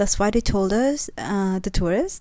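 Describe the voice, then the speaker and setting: In a very clean recording with a silent background, a woman speaks at a moderate pace with a non-native accent. Her medium-pitched voice has a dark, mellow tone. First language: not English. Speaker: travel vlogger. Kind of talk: vlog narration. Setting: outdoors.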